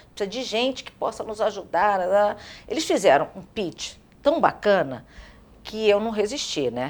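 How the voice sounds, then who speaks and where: A woman with a Carioca accent speaks at a fairly slow pace and a medium pitch, with very wide pitch swings and big swings in loudness. Vocal fry comes through on a very clean recording with a silent background. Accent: carioca Brazilian Portuguese. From Rio de Janeiro, Brazil. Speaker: business executive and board member. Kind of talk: interview.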